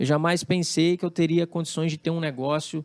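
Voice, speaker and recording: The man's voice sits fairly high for a man and moves at a moderate pace. The very clean recording has a silent background and a dry, close sound with no echo. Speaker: drummer and music producer. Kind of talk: interview conversation.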